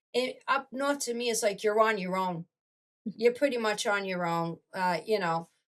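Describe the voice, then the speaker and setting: A woman's fairly high voice moves at a moderate speed, its pitch varying in an ordinary way. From Massachusetts. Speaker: relocated resident. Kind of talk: casual roundtable chat. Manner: animated.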